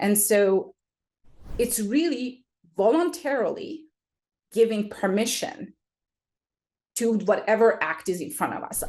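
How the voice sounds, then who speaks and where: A woman with a non-native accent speaks at a fairly high pitch. Her pace is fairly slow, with long, frequent pauses. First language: not English. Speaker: special education specialist. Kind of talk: interview explanation. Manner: hesitant, many fillers.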